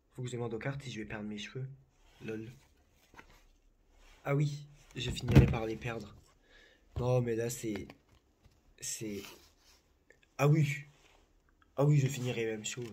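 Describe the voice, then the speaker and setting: A man with a dark, mellow, somewhat breathy voice at medium pitch speaks at a fairly slow pace with fairly even intonation, long, frequent pauses, big swings in loudness and audible room echo. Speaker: psychic. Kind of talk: casual chat. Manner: calm.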